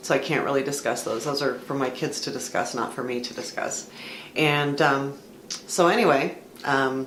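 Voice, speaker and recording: With audible room echo and noticeable background noise, a woman with an American accent speaks at a moderate pace in a very deep, low pitch with ordinary pitch variation. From US West Coast, Southern California (San Fernando Valley). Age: 50s. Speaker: vlogger. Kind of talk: casual personal vlog talk. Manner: hesitant, many fillers and repeats.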